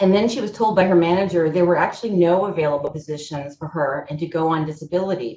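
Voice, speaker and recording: With a dark, mellow tone and a somewhat breathy quality, a woman of fairly low pitch speaks at a fairly quick pace with ordinary pitch variation. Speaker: presenter on kidney patient employment. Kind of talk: webinar presentation. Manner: fast.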